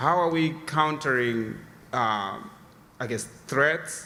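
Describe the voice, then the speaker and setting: A man with a non-native accent is heard over noticeable background noise, with audible room echo. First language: not English. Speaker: audience member asking a question. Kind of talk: audience question. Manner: halting, many fillers.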